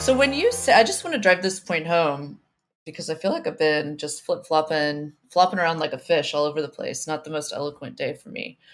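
In a very clean recording with a silent background, a woman talks at a fairly quick pace with big swings in loudness. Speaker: podcast host. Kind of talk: casual banter, explanatory political discussion. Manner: hesitant, self-correcting.

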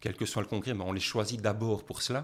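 A man with a medium pitch and fairly even intonation has an ordinary speaking voice. The recording is very clean and the background silent. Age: 50s. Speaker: professor. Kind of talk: interview.

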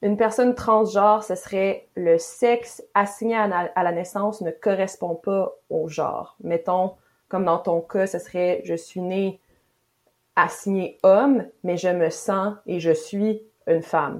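Over a very clean recording with a silent background, a woman speaks very slowly at medium pitch with fairly even intonation. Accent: Quebec. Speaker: feminist podcast host. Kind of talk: interview conversation.

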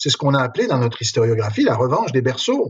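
A man with a medium-pitched, somewhat breathy voice talks at a very fast clip with lively intonation. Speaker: history professor. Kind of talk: interview.

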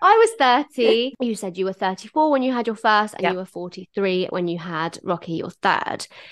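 A woman with an ordinary speaking voice and medium pitch talks at a moderate pace with lively intonation and hardly any pauses. The background is quiet, and the sound is dry and close with no echo. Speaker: podcast host. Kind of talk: casual chat.

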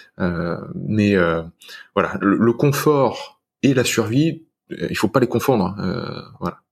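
A man's very slow delivery with lively intonation. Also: medium pitch for a man. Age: 30s. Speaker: fitness and lifestyle guest. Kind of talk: casual interview chat.

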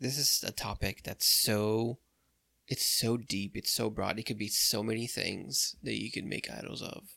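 In a very clean recording with a silent background, a man with a fairly low pitch speaks at a moderate pace, his bright, sharp tone edged with vocal fry. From Brazil. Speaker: podcast co-host. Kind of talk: casual chat about faith.

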